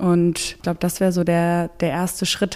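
Dark, mellow tone in a woman's voice of medium pitch. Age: 30s. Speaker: volunteer coordinator. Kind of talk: interview. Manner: hesitant with fillers.

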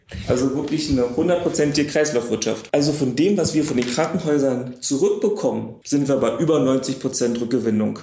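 Speaking with hardly any pauses and very even loudness, a man keeps a fairly quick pace at a fairly high pitch with ordinary pitch variation. Audible room echo surrounds his voice. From Potsdam area, Brandenburg. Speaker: pharmaceutical production manager. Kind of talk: interview. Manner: casual.

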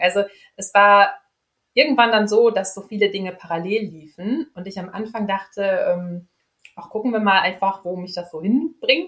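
Speaking at a moderate pace, a woman has an unremarkable speaking voice, medium in pitch with ordinary pitch variation. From Ruhr area, Germany (Dortmund). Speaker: speech therapist and team coach. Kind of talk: interview.

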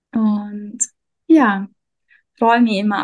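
A woman speaks in a fairly high, somewhat breathy voice with flat, monotone intonation. The sound is dry and close, with no echo. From Austria. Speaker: energy worker and self-discovery coach. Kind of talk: interview.

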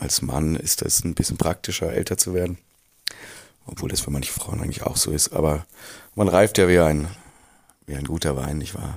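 Vocal fry colors speech at a moderate pace with ordinary pitch variation and long, frequent pauses. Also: man, very deep, low pitch for a man. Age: 40s. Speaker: creative director in advertising. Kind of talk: recorded interview statement.

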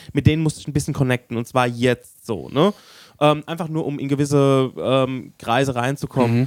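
Recorded with a dry, close sound and no echo, a man at a medium pitch talks at a moderate pace with ordinary pitch variation. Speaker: podcast host. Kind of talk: casual chat.

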